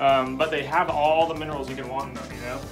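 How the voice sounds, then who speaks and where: Clear music plays in the background as the speech rushes by at a very fast pace. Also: man. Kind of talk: casual explanation.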